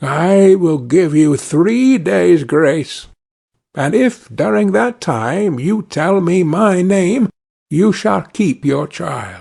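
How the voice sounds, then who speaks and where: A man does a put-on character voice at a fairly high pitch and a very slow pace. Behind him the background is quiet. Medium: read story.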